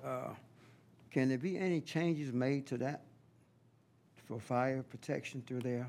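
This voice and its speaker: With a Southern US accent, the speaker talks at a fairly slow pace with fairly even intonation and long, frequent pauses. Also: man, medium pitch for a man. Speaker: county commissioner. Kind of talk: public meeting.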